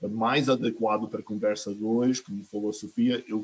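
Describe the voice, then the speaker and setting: Fairly even intonation marks the speech of a man in an American accent. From United States. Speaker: climate finance adviser, green bank board member. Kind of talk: online panel discussion. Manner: halting, many fillers and restarts.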